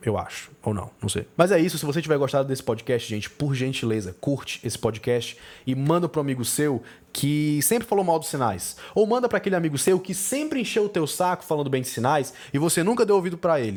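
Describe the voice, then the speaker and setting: This man talks at a fairly quick pace in an animated tone, his pitch swinging very widely. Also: fairly high pitch for a man. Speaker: film critic podcast host. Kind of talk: podcast monologue. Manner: fast.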